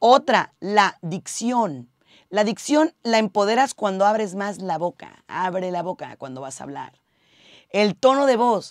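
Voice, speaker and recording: A woman of medium pitch speaks at a fairly slow pace with lively intonation and an animated tone. The sound is dry and close with no echo, on a very clean recording with a silent background. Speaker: radio host and content creator. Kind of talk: tips video monologue. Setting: radio booth.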